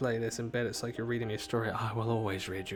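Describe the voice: The voice is plain reading aloud. Nothing more is added to the delivery.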